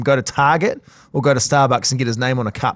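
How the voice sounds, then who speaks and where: Against a quiet background, a man with a New Zealand accent and a fairly high pitch talks at a very fast pace. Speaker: sports podcast host. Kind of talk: casual chat.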